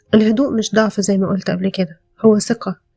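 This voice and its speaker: A soft-spoken woman with an Egyptian accent talks in a calm tone at a moderate pace, her pitch medium. Music plays in the background, and the sound is dry and close with no echo. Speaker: podcast host. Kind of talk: self-help podcast monologue. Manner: calm, soft-spoken; hesitant, with fillers.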